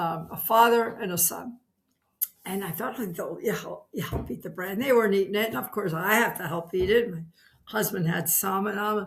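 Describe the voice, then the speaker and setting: With an American accent, a woman talks at a fairly quick pace in an unremarkable speaking voice of medium pitch and ordinary pitch variation. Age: 60s. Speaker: retired PE teacher and carnivore dieter. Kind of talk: interview testimony.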